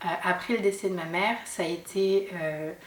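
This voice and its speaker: A medium-pitched woman with fairly even intonation, audible room echo and noticeable background noise. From southern France, Sète (Hérault). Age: 30s. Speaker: mother sharing her story. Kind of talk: testimony interview. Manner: hesitant, many fillers.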